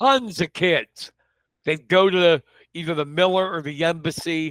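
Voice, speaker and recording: A man with an American accent talks at a moderate pace in an unremarkable speaking voice, pitched fairly high. The recording is very clean with a silent background and a dry, close sound with no echo. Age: 50s. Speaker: local news publisher. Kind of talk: casual chat.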